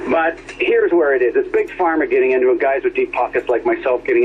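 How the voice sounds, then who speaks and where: Against noticeable background noise, a man talks at a very fast pace. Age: 60s. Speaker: licensed cannabis grower. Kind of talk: radio call-in.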